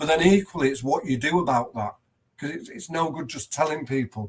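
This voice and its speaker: Speaking in an English accent, a man has a fairly high pitch. His pitch variation is ordinary. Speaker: headteacher. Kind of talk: podcast interview.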